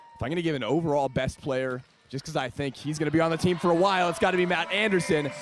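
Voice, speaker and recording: A man's fairly high, very fast voice, dry with no echo, over music in the background. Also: ordinary pitch variation. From USA. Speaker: sports play-by-play announcer. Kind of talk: conversational live answers to fan questions. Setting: live webcast. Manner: friendly, chatty. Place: stadium.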